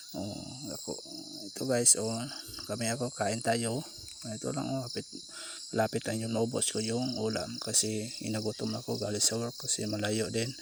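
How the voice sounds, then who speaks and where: At a moderate pace and with fairly even intonation, the voice comes through over noticeable background noise. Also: man, medium pitch for a man. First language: Cebuano (Bisaya) (speaking Tagalog). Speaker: vlogger. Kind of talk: casual eating vlog. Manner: halting, code-switching. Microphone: far from the camera.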